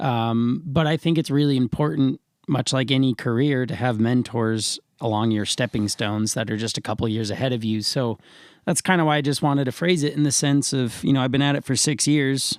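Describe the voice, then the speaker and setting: A man's plain, everyday voice at medium pitch, fairly quick pace and ordinary pitch variation, dry and close with no echo on a very clean recording with a silent background. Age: 20s. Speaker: professional musician. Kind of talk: casual interview chat.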